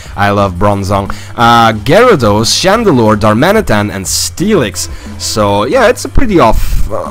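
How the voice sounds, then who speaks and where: There is music in the background. Over it, a man talks at a fairly slow pace. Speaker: game commentator. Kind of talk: gameplay commentary.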